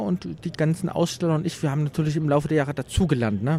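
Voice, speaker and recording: Talking at a very fast pace, a man has a fairly high pitch and a dark, mellow, somewhat breathy tone. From Leipzig, eastern Germany. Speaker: retro exhibition organizer and collector. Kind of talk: trade fair interview. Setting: exhibition hall at a games fair.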